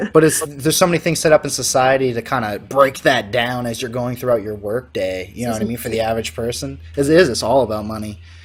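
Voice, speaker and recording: A man with a northern US accent talks at a very fast pace and a medium pitch, with lively intonation and hardly any pauses. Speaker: podcast host. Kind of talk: casual chat. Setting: video call.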